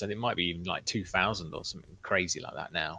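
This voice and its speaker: Against a quiet background, a man talks at a very fast pace. His tone is bright and sharp, and his intonation stays fairly even. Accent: English. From England. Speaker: open-source flight controller software developer. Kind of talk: casual chat.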